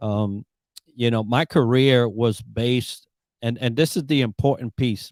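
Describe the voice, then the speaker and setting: A man's plain, everyday voice with fairly even intonation at a fairly slow pace, with a dry, close sound, no echo, and a very clean recording over a silent background. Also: medium pitch for a man. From Puerto Rico and the Bronx, New York. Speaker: Navy veteran and leadership coach. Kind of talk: podcast interview.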